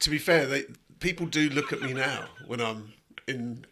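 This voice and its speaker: An unremarkable speaking voice from a man, fairly high-pitched, with ordinary pitch variation and a moderate pace. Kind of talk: casual podcast conversation.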